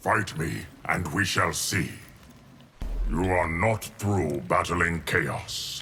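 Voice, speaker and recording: A man's put-on character voice, very deep and low, at a very slow pace with long, frequent pauses, ordinary pitch variation and very even loudness, over clear background noise. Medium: video game.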